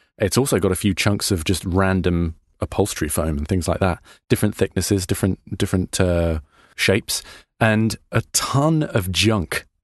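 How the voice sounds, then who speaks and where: Over a quiet background, a man with a very deep, low pitch speaks at a moderate pace. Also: ordinary pitch variation, dry, close sound with no echo. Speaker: podcast host. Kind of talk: podcast narration and interview.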